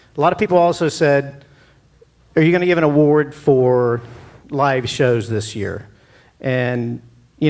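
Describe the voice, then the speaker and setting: A normal speaking voice from a man, fairly high in pitch, with ordinary pitch variation. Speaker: awards show host. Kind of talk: live stage speech at awards show. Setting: theater stage with audience.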